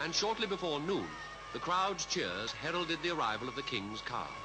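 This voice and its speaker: Here is a man with a British accent and a fairly high pitch. Noticeable background noise can be heard. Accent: British received pronunciation. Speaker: newsreader. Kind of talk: newsreel narration.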